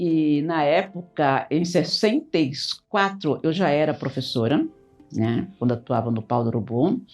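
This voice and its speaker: This woman's very deep, low pitch moves in very wide swings. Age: 80s+. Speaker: retired teacher. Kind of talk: casual group conversation.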